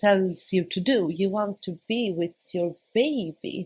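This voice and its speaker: Using ordinary pitch variation, a woman with a non-native accent talks at a medium pitch. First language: not English. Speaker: new mother sharing birth story. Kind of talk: casual interview. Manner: halting.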